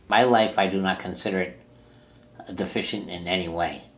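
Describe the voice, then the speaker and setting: This is a man's voice. His pitch is very deep and low. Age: 70s. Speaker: person with brittle bone disease; interviewee. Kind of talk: interview. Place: home room.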